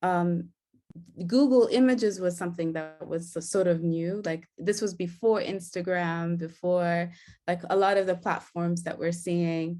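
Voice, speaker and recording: Against music in the background, a woman speaks fairly slowly at a fairly low pitch with fairly even intonation. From Kenya. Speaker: digital artist and curator. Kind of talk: interview. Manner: hesitant, many fillers.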